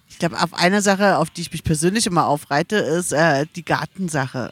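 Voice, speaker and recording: Talking fairly quickly with hardly any pauses, a woman uses a fairly low pitch with ordinary variation and big swings in loudness, in a dry, close sound with no echo. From Berlin (Mitte), Germany. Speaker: podcast guest. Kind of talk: casual chat. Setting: outdoors by a river at a music festival.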